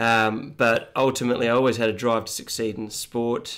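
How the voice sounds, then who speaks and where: In an Australian accent, a man talks at a medium pitch. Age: 30s. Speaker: running coach. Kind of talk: casual interview. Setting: home studio.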